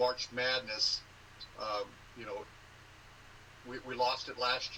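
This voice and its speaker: A man at medium pitch, monotone and flat in intonation, very slow, with big swings in loudness. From Southern California. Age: 60s. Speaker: sports conference commissioner and former sportscaster. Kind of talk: interview.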